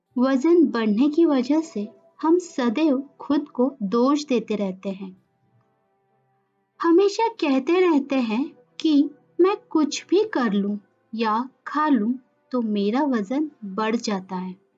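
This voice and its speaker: Over music in the background, a woman speaks in a calm, soothing tone, her high voice swinging very widely in pitch between long, frequent pauses. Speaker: yoga nidra guide. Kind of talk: guided meditation. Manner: slow, calm, soothing.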